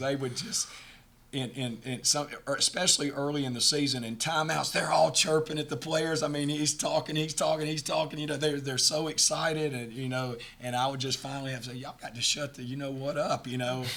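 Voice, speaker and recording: Fairly quick, fairly even speech with audible room echo and noticeable background noise. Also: man. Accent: Southern US. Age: 60s. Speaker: college basketball head coach. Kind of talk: post-game press conference. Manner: halting, many repeated words.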